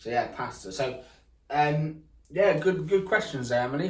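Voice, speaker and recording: There is audible room echo around this man's fairly high-pitched voice. He speaks at a moderate pace. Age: 20s. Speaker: accessibility vlogger. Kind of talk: casual chat. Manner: hesitant, many fillers.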